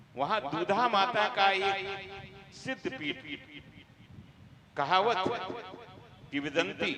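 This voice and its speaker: A man's high, raised, projected voice with long, frequent pauses over noticeable background noise. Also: lively intonation. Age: 70s. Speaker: politician. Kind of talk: speech to religious gathering.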